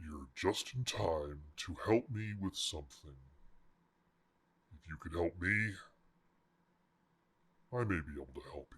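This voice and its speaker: Using a put-on character voice, a man speaks with a very deep, low pitch at a fairly slow pace, leaving long, frequent pauses. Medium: actual play. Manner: imperious, measured.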